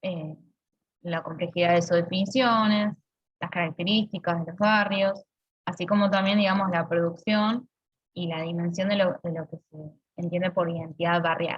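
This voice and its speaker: A somewhat breathy woman's voice, fairly low in pitch, at a moderate pace with fairly even intonation and big swings in loudness. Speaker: university lecturer. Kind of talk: lecture.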